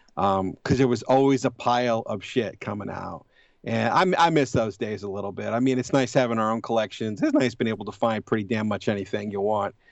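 A normal speaking voice belongs to this man, pitched at a medium level with ordinary pitch variation. He talks at a fairly quick pace with hardly any pauses. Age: 40s. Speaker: horror movie blogger. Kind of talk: casual chat.

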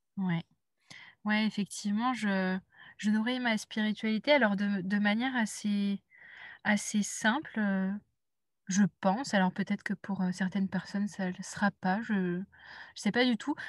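A somewhat breathy voice at a fairly slow pace with fairly even intonation and long, frequent pauses, dry and close with no echo, on a very clean recording with a silent background. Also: woman, medium pitch for a woman. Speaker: intuitive life coach. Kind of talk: casual interview conversation. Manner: halting, many repetitions and hesitations.

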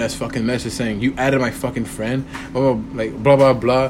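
Monotone, flat delivery from a man, with noticeable background noise and audible room echo. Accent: American. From Texas, Corpus Christi. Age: 20s. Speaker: podcast host. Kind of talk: casual chat.

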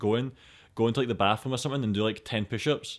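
Speaking very fast, a man talks with a Scottish accent. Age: 20s. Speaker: podcast host. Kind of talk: casual chat.

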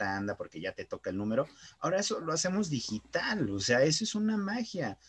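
The man talks at a fairly quick pace with very wide pitch swings. The sound is dry and close, with no echo. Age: 20s. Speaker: marketer and web developer. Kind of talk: casual improvised chat.

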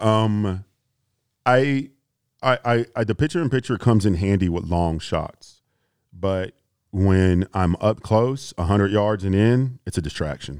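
A man with an American accent has an ordinary speaking voice, a fairly low pitch, and ordinary pitch variation, speaking at a fairly slow pace. The recording is very clean with a silent background and a dry, close sound with no echo. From US South, Houston, Texas. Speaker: predator and hog hunter. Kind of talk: casual chat.

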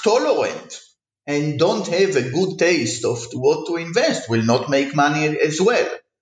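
There is audible room echo as a man with a high pitch speaks at a fairly slow pace. His pitch swings very widely. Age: 40s. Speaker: economics professor. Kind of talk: interview.

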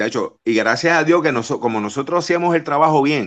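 In an ordinary speaking voice, a man speaks at a moderate pace with a fairly high pitch and ordinary pitch variation against a quiet background. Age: 50s. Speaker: wrestling TV personality. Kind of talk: casual interview.

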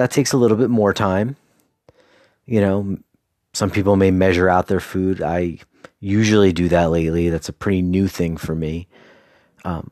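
A man with a very deep, low pitch and ordinary pitch variation talks at a fairly quick pace but leaves long, frequent pauses. The sound is dry and close, without echo. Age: 40s. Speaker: solo podcaster, PhD student. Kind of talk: casual solo monologue. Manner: conversational with frequent fillers.

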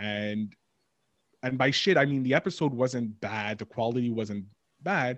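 This is a man speaking. He has a Montreal accent. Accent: Montreal English (Canadian). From Montreal, Quebec, Canada. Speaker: podcast host and producer. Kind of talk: casual interview chat. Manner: animated, many fillers and self-interruptions.

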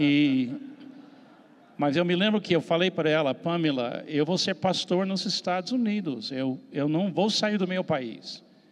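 A man with an American accent talks at a fairly slow pace in a high voice, his loudness very even and his pitch variation ordinary. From US, Miami. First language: English (speaking Portuguese). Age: 70s. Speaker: missionary pastor. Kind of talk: panel discussion.

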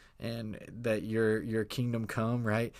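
At a moderate pace, a man talks with a warm tone at medium pitch, in a very clean recording with a silent background. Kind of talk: devotional talk ending in fervent prayer-like blessing. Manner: earnest, warm, fervent, with rising intensity; conversational, with frequent hesitations (uh).

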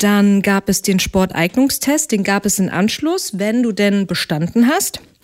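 A woman speaks in a normal speaking voice at medium pitch with ordinary pitch variation. Her pace is fairly slow, with hardly any pauses and very even loudness. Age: 30s. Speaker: wedding singer. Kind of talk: casual chat.

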